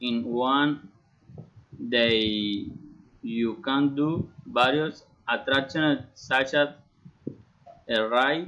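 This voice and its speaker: A man talks with a Colombian accent at a very slow pace. Long, frequent pauses break up his speech. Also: medium pitch for a man, ordinary pitch variation, very even loudness. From Colombia, Bucaramanga. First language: Spanish. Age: 30s. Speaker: engineering student. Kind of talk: prepared self-introduction in a learned language. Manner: halting, with repetitions.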